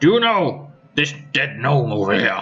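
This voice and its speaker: Over faint background music, a man puts on a character voice at a fairly high pitch, moving at a moderate pace with very wide pitch swings. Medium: actual play. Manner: formal, authoritative.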